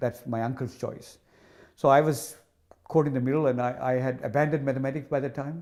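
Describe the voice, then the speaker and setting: A man in a Tamil accent, medium in pitch, fairly quick in pace, with fairly even intonation. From Sri Lanka (northern, Jaffna area). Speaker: hydrology professor. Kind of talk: interview. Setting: office. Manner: halting, many repetitions and fillers.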